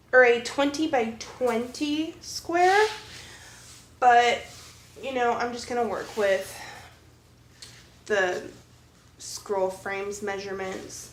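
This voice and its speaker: A woman's high-pitched, lively voice at a very slow pace, with long, frequent pauses and noticeable background noise. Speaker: cross-stitch hobbyist. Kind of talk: casual talk to camera.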